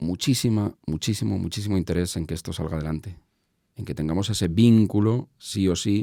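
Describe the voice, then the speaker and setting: Fairly low in pitch with a dark, mellow tone, a man speaks at a fairly quick pace with ordinary pitch variation. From Spain, Madrid. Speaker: entrepreneur, business association president. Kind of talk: interview conversation. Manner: halting, many fillers and repetitions.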